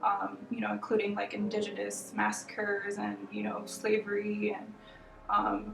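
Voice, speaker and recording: Amid audible room echo and music in the background, a woman with an American accent speaks at a moderate pace. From Arizona, Phoenix. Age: 20s. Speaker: artist. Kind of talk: interview. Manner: hesitant, many fillers.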